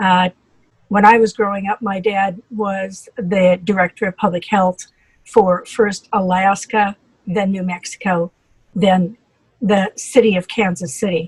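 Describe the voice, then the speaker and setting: A woman with an American accent speaks at a medium pitch, somewhat breathy. The sound is dry and close, with no echo. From US Midwest, North Dakota. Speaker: physician. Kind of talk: interview. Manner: halting.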